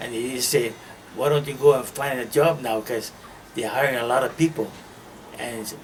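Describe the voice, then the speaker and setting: Speaking with a Hawaiian accent, a man talks at a moderate pace and medium pitch. His intonation is fairly even, and noticeable background noise is present. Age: 80s+. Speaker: World War II era Pearl Harbor worker. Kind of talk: interview answer, personal memories.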